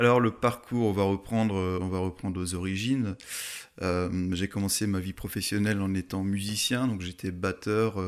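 A man with a plain, everyday voice speaks fairly slowly at a fairly low pitch, with fairly even intonation, on a very clean recording with a silent background. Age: 30s. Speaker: mountain photographer. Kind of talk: casual interview. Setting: in person at guest's home town.

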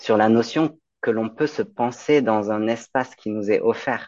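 A man has an ordinary speaking voice, with a fairly low pitch and ordinary pitch variation. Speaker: midwife. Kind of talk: interview.

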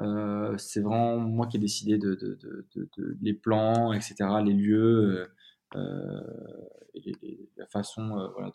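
Very slowly, a man speaks in a medium pitch with a dark, mellow tone. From Provence, near Avignon (Gard). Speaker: olive oil brand founder. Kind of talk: casual interview. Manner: halting, frequent repetitions and fillers.

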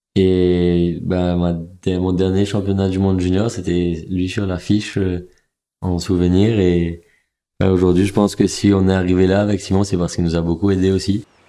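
A man's very deep, low voice, dark and mellow in tone, with monotone, flat intonation at a moderate pace. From Mauritius. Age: 20s. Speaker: professional kitesurfer and student. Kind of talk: personal testimony.

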